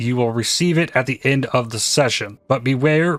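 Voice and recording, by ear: Pitch moves in an ordinary way. The reading aloud is done in a natural voice.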